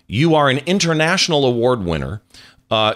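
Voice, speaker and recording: Over a very clean recording with a silent background, a man talks at a moderate pace with very wide pitch swings. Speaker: podcast host. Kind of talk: interview.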